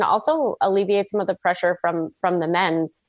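With a Canadian accent and an unremarkable speaking voice, a woman talks at a moderate pace in a medium pitch with fairly even intonation. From Canada. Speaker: former Olympic aerial skier. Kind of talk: interview.

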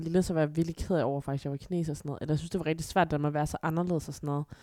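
A woman speaks at a very fast pace with a fairly low pitch. Her tone is dark and mellow, her intonation fairly even. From Aarhus, Denmark (born in China). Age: 20s. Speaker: adoptee. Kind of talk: casual chat.

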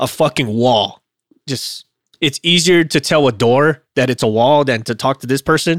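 A man with a fairly high pitch talks in an ordinary speaking voice at a moderate pace, with ordinary pitch variation. The recording is very clean with a silent background and a dry, close sound with no echo. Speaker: podcast co-host, aircraft maintenance. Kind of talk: casual chat podcast discussion.

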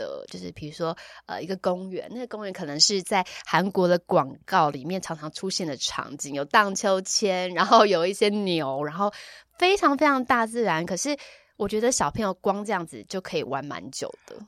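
Her pitch swinging very widely, a woman talks at a moderate pace on a very clean recording with a silent background and a dry, close sound with no echo. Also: big swings in loudness. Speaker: yoga and dance teacher, former radio host, event emcee. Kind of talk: casual chat. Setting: recording studio.

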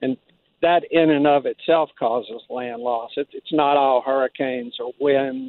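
Speaking at a fairly slow pace, a man keeps a medium pitch and fairly even intonation. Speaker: caller. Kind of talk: call-in comment. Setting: phone call. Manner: hesitant, many fillers.

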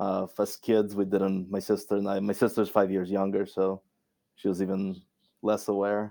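In a monotone, flat delivery, a man with a fairly low pitch and a dark, mellow tone speaks at a moderate pace. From Russia. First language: Russian. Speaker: scientist. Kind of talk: casual interview. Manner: frequent fillers, halting.

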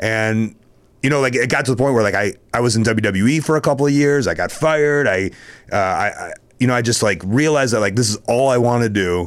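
Using a plain, everyday voice, a man with an American accent talks at a fairly quick pace and medium pitch. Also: ordinary pitch variation, very clean recording, silent background. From Chicago. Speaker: professional wrestler. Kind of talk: casual chat.

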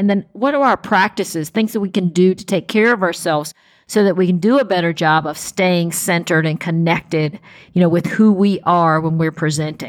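A woman speaks at a fairly quick pace in a plain, everyday voice, medium in pitch with ordinary pitch variation, on a very clean recording with a silent background. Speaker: podcast host. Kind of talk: interview conversation.

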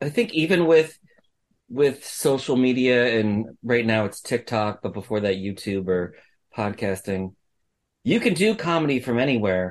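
In a plain, everyday voice, a man of medium pitch talks at a moderate pace with lively intonation. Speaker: podcast host. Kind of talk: interview, casual conversation.

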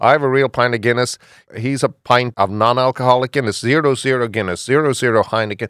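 Delivering his words at a very fast pace, a man of medium pitch speaks with an Irish accent and fairly even intonation on a very clean recording with a silent background. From Ireland. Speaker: bar owner. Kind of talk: radio interview.

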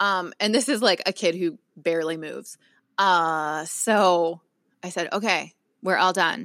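At a fairly slow pace, a woman of medium pitch talks in an ordinary speaking voice with ordinary pitch variation. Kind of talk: casual chat.

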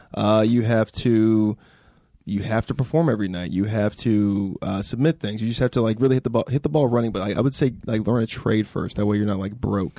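An unremarkable speaking voice talks fairly quickly in an American accent with ordinary pitch variation. The recording is very clean with a silent background and a dry, close sound with no echo. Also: man, fairly low pitch for a man. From California, high desert. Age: 20s. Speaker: comedian. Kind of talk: casual chat.

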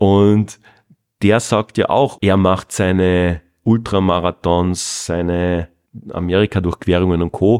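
A man speaks very slowly in a very deep, low voice with fairly even intonation, the sound dry and close with no echo on a very clean recording over a silent background. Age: 40s. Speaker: podcast host, online marketing consultant. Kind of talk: interview conversation; scripted outro. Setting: fitness studio.

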